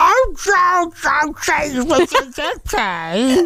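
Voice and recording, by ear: Someone uses a high-pitched, put-on character voice over light background noise.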